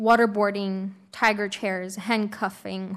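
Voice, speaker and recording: In a Xinjiang accent, a woman of medium pitch speaks at a very slow pace with fairly even intonation. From Uyghur region, China. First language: Uyghur. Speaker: Uyghur rights advocate, witness. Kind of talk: prepared testimony at hearing.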